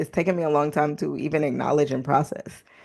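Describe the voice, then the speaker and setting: The background is quiet. Her pitch varies in an ordinary way as the woman talks. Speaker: podcast host; Spanish teacher. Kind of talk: casual personal podcast talk. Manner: reflective, mixing English and Spanish.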